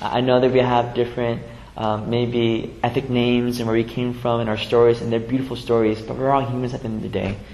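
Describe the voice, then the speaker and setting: A man with a medium-pitched voice speaks with an American accent. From US West Coast, San Jose (Vietnamese refugee family). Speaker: pastor. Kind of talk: sermon. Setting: church. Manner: halting, with repetitions and fillers.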